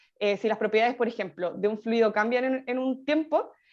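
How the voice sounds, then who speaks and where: Ordinary pitch variation runs through this voice, set against a quiet background. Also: woman. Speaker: teaching assistant. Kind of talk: tutorial.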